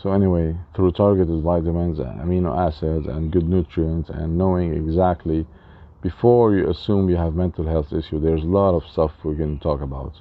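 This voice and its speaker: Very deep and low, a man's voice moves at a fairly quick pace. His intonation stays fairly even. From Lebanon. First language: Arabic and French. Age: 40s. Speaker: spiritual life coach. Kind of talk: casual talk to camera. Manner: halting.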